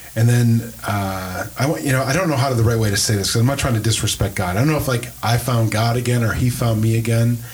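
Against noticeable background noise, a man with an American accent speaks at a fairly quick pace, his medium pitch showing ordinary variation and his loudness very even. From US Midwest, Wisconsin (Green Bay). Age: 50s. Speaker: pastor, podcast host. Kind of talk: casual chat. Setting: church.

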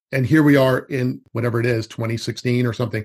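The speaker is a man at a medium pitch. His voice is somewhat breathy. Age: 50s. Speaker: forest school educator. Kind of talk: casual chat.

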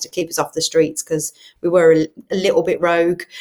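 A woman with a Brummie accent talks at a very fast pace in a fairly low pitch. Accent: Brummie (Birmingham). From Birmingham, England. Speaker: charity head and online church pastor. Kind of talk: casual interview, personal testimony. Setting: in person, studio.

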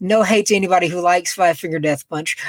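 A man with a Southern US accent talks very fast in a high-pitched voice. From Macon, Georgia, US. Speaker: podcaster. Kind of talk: casual interview chat.

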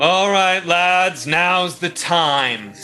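Against clear background music, a man performs a put-on character voice high in pitch. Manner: commanding, bold.

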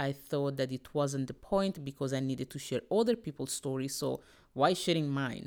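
On a very clean recording with a silent background, a woman speaks at a moderate pace in a very deep, low pitch. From Italy. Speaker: business storytelling coach. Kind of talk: solo podcast monologue.

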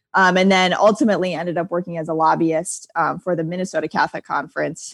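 With an American accent, a woman talks at a fairly quick pace in a fairly low pitch and fairly even intonation, the sound dry and close with no echo. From Michigan, US Midwest. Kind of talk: casual interview. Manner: chatty.

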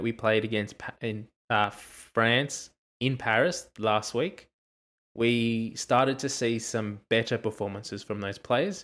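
Someone with an Australian accent speaks at a fairly slow pace with fairly even intonation. The recording is very clean, with a silent background. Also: man. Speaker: rugby podcast host. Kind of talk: casual chat.

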